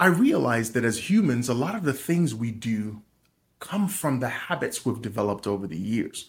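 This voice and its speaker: A man's medium-pitched, somewhat breathy voice at a moderate pace, with very wide pitch swings. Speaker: podcast host and small business owner. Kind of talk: solo motivational business talk.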